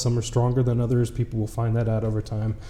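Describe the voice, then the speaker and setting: A man with an American accent speaks at a medium pitch. His tone is dark and mellow, and somewhat breathy. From US Midwest, Wisconsin. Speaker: games company executive. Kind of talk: interview.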